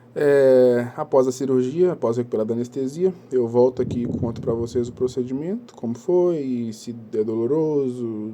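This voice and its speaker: Noticeable background noise accompanies a man whose medium-pitched voice shows ordinary pitch variation. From Minas Gerais, Brazil (Belo Horizonte area). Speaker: vlogger sharing injury experience. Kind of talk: casual first-person vlog. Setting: at home.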